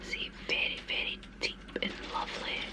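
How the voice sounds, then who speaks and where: Amid noticeable background noise, the words come out whispered at a very slow pace. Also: woman. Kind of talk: ASMR show and tell of lipsticks. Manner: whispered, soft-spoken.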